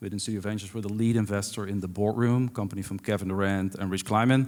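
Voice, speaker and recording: Fairly low in pitch, a man's voice moves at a very fast pace with fairly even intonation. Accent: Dutch. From Netherlands. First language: Dutch. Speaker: venture investor. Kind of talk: panel discussion. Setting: stage with audience.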